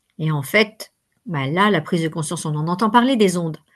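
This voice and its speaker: Against a quiet background, a woman talks at a moderate pace. Her voice is fairly low in pitch. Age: 60s. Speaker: workshop facilitator and coach. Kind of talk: interview. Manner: hesitant, many fillers.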